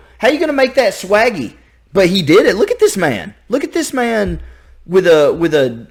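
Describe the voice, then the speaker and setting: A man talks at a moderate pace with a slight Southern US accent. The recording is very clean, with a silent background. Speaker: YouTube reaction reviewer. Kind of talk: casual reaction commentary. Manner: animated, halting with repetitions.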